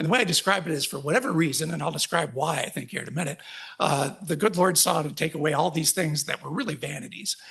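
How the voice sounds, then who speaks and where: A man talks at a very fast pace with ordinary pitch variation. Noticeable background noise is audible. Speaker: patient advocate speaker, ocular melanoma patient. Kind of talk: conference talk. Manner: halting with fillers.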